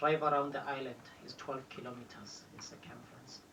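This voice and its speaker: With a South African accent, a man speaks at a moderate pace and a fairly high pitch. The room echoes audibly, and there is noticeable noise behind him. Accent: Xhosa-accented South African English. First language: Xhosa. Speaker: tour guide. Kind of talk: guided tour commentary. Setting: tour bus.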